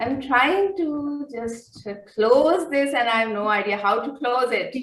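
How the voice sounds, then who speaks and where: A high-pitched woman with lively intonation, at a fairly slow pace, in audible room echo. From Pakistan. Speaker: poet. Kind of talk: poetry reading.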